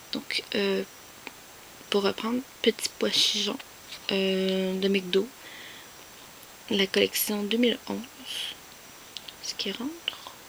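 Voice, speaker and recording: Very slow speech with long, frequent pauses and ordinary pitch variation over noticeable background noise. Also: woman, medium pitch for a woman. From Quebec. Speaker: YouTuber, collector. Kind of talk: casual vlog show-and-tell. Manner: hesitant, many fillers.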